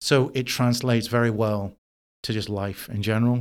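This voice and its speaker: A man with a London accent speaks at a medium pitch with fairly even intonation. The recording is very clean, with a silent background. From London, England. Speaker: chef. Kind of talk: interview. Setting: in person, New York City.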